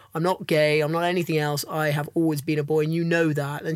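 Fairly high in pitch, a man talks at a very fast pace in a London accent. His intonation stays fairly even. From London, England. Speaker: film director and actor. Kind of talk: casual interview.

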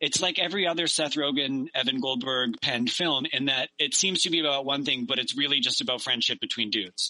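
A man with a Canadian accent talks at a fairly quick pace in a fairly high pitch. It is a normal speaking voice with ordinary pitch variation. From Victoria, British Columbia, Canada. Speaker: stand-up comedian. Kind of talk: casual chat.

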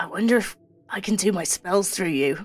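A female-sounding voice uses a raspy, put-on character voice. Her pitch is medium and her pace moderate. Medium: actual play. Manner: brisk, bossy.

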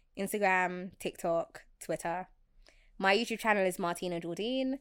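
A woman speaks at medium pitch with ordinary pitch variation, in a plain, everyday voice. The recording is very clean, with a silent background. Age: 20s. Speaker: freelance social media consultant. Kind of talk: casual interview chat.

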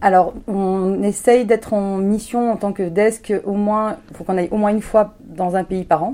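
A woman with a medium-pitched voice and a dark, mellow tone speaks fairly slowly, with hardly any pauses. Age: 40s. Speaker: humanitarian aid manager. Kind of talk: interview. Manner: energetic.

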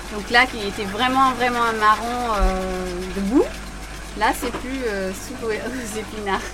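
Speech comes at a very slow pace with long, frequent pauses, fairly even intonation and big swings in loudness. Noticeable background noise and audible room echo sit under it. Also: woman, fairly high pitch for a woman. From Portugal / United States. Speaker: research scientist. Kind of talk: on-site explanation. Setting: ship laboratory at night.

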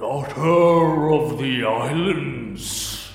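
Putting on a character voice, a man talks at a fairly high pitch with a clear echo around him. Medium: actual play. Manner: grave, halting, archaic phrasing.

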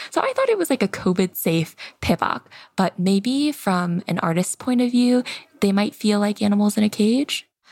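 In a dry, close recording with no echo, a woman of medium pitch speaks at a moderate pace with lively intonation and a somewhat breathy voice. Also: very even loudness. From Seoul, South Korea, then US in childhood. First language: Korean. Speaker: content creator. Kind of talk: casual podcast chat.

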